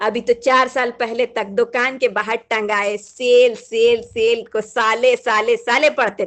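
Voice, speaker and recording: A woman with a Bihari accent speaks at a high pitch. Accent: Bihari Hindi. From Bihar, India. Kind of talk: humorous monologue reading.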